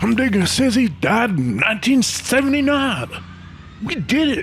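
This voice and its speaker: A man's put-on character voice at an extremely high pitch and moderate pace, with clear background noise. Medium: read story. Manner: laid-back, halting.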